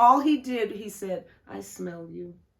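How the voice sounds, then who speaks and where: A woman's voice with a fairly high pitch. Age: 70s. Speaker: podcast co-host and chef. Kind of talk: casual chat.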